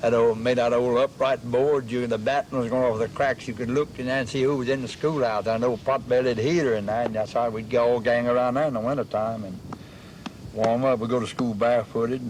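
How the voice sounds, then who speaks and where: Noticeable background noise sits behind speech that is monotone, with flat intonation. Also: man, medium pitch for a man. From south Louisiana coast. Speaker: former resident. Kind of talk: oral history interview.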